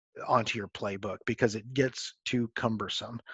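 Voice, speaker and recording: Using a normal speaking voice, a man with an American accent talks at a moderate pace with fairly even intonation. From Texas. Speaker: football coach. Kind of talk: coaching clinic presentation.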